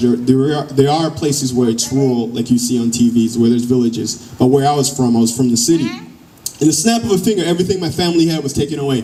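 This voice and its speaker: Very fast, nearly pause-free speech from a man at medium pitch, with ordinary pitch variation and noticeable background noise. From Democratic Republic of the Congo. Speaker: educator and motivational speaker. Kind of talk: personal story told to a live audience.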